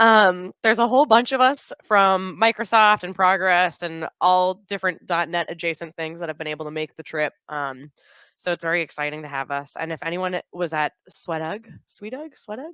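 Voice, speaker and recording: Speaking at a moderate pace, a woman with a fairly low pitch and a bright, sharp tone uses lively intonation in a very clean, silent recording that sounds dry and close with no echo. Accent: Boston. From US Northeast, Boston. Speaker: software product manager. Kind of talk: conference talk. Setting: stage with audience. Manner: casual, filler-heavy.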